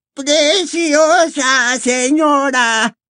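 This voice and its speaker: In a put-on character voice, the high-pitched speech comes out squeaky and shrill. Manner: fawning, flattering.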